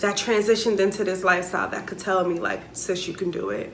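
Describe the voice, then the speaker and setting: A woman's voice over light background noise. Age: 30s. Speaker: vlogger and flight attendant; vlogger. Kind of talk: casual vlog monologue. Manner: animated, laughing. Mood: earnest, animated. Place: home room. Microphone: camera far.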